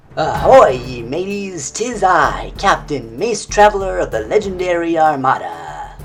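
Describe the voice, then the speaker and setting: A man puts on a character voice pitched high. He goes at a fairly slow pace against clear background noise. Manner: cringy, exaggerated.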